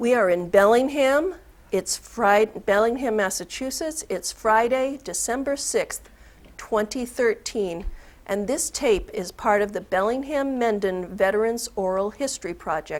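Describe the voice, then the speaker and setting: This woman has a plain, everyday voice with fairly high pitch. She talks at a fairly slow pace on a very clean recording with a silent background. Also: lively intonation. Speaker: oral history interviewer. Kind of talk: interview questions. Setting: studio.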